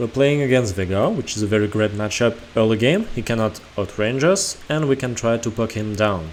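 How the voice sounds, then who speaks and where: With a non-native accent, a man speaks in a fairly low voice with ordinary pitch variation. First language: not English. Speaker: gaming video creator. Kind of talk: gameplay analysis commentary.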